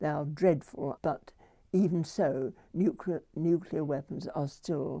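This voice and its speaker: In a British accent, a woman speaks very slowly at a very deep, low pitch with ordinary pitch variation. Her tone is dark and mellow, and the background is quiet. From United Kingdom. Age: 80s+. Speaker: nuclear historian. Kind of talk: interview answer. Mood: reflective, grave. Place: home room.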